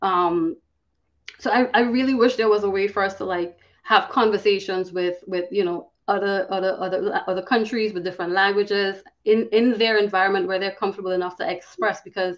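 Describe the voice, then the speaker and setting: A woman with a Trinidadian accent talks fairly quickly at a medium pitch with fairly even intonation. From Trinidad and Tobago. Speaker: cybersecurity professional. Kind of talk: podcast interview. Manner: fast.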